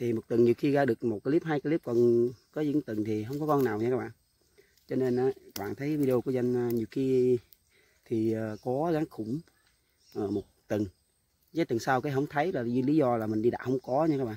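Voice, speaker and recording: With a dark, mellow tone, a man speaks at a fairly quick pace with ordinary pitch variation in a dry recording with no echo. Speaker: snake trapper vlogger. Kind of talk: casual vlog chat. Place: open country. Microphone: phone near.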